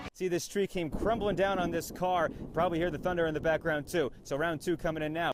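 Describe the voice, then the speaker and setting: A man speaks in an energetic tone with music in the background. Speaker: television news anchor and reporter. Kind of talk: broadcast news reporting. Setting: outdoors, live on-scene report. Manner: urgent, energetic.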